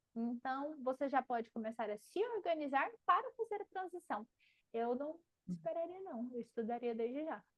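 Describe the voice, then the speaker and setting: A high-pitched woman's voice at a moderate pace, with very wide pitch swings. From Paraná, Brazil (countryside). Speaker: marketing teacher and mentor. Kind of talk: live class Q&A. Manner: animated.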